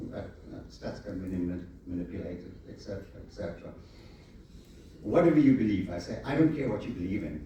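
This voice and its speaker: A man's very deep, low, somewhat breathy voice carries lively intonation and big swings in loudness, with audible room echo. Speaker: conference speaker on architecture. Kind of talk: conference presentation. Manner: fast.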